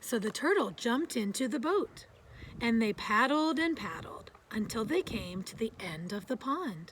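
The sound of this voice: A woman speaks at a fairly slow pace in a fairly high pitch with big pitch swings. Her tone is fairly bright, with a slightly husky edge.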